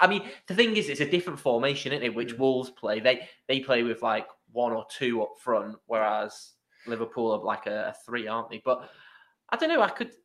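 A man's fairly quick speech in an English accent, medium pitch with ordinary pitch variation. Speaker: podcast host. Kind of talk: casual chat. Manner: animated.

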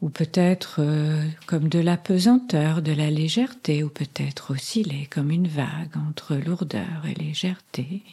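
A woman's very deep, low voice, dark and mellow, somewhat breathy, at a fairly slow pace with hardly any pauses and ordinary pitch variation. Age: 70s. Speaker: psychotherapist and hypnotherapist. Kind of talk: interview; guided hypnotic induction. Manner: slower, modulated hypnotic delivery.

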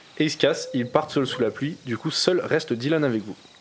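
A man's voice with noticeable background noise. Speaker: game master of a tabletop role-playing game, podcast host. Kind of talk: casual chat, running a role-playing game. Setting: late-night home recording with friends around a table.

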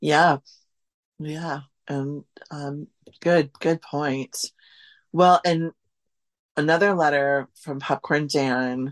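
A woman with an American accent speaks at a very slow pace with long, frequent pauses, her very deep, low pitch and fairly even intonation heard in a dry, close sound with no echo over a quiet background. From US Midwest, central Wisconsin. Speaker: food historian and author. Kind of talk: casual interview. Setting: remote call.

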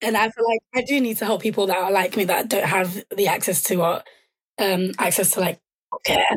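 A woman with a London accent at a fairly quick pace, medium pitch and ordinary pitch variation, very even loudness, in a dry, close sound with no echo. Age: 20s. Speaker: charity founder and sickle cell advocate. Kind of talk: casual chat.

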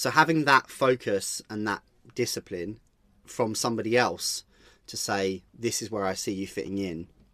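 At a moderate pace, a man uses a normal speaking voice with a fairly low pitch and ordinary pitch variation on a very clean recording with a silent background. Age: 30s. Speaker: DJ and music producer. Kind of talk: interview. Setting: home studio.

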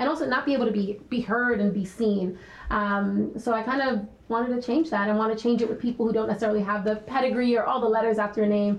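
Speech comes at a very fast pace in a New York accent, with ordinary pitch variation. Noticeable background noise runs underneath. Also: woman. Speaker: health nonprofit founder and CEO. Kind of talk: panel discussion. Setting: stage with audience.

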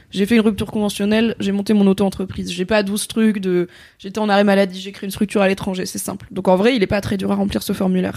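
Her pace is very fast. The woman's voice sits at a medium pitch. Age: 30s. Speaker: content creator. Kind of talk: casual interview chat.

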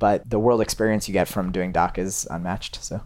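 Fairly low in pitch, a man speaks at a fairly quick pace. It's an ordinary speaking voice. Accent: American. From Massachusetts, outside Boston. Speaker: cinematographer. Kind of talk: interview conversation. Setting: recording in New York.

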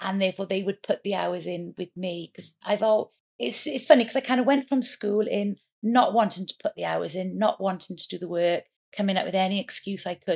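Speaking with a Welsh accent and ordinary pitch variation, a woman comes through in a dry, close sound with no echo. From Wales. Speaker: entrepreneur. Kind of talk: interview.

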